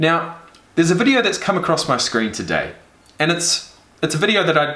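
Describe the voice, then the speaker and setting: An animated man in a New Zealand accent, fairly high in pitch, with lively intonation and a moderate pace, amid noticeable background noise and audible room echo. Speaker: reaction video creator. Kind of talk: casual reaction commentary.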